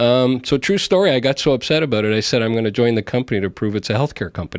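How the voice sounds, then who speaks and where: The pace is very fast, with lively intonation. There's a slight Montreal accent. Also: man, medium pitch for a man. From Montreal, Canada. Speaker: healthcare company CEO. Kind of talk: podcast interview. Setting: studio.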